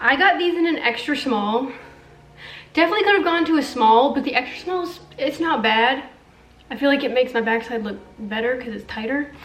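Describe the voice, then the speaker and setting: A woman talks at a fairly quick pace and high pitch with lively intonation, amid noticeable background noise and audible room echo. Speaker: beauty and fashion youtuber. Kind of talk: try-on haul review. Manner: casual, filler-heavy.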